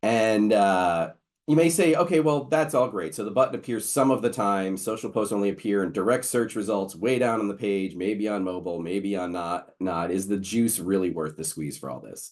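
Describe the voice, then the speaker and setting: A man with a fairly low pitch talks in lively intonation, hardly pausing at all. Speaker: webinar host, local SEO expert. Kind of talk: webinar presentation. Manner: fast.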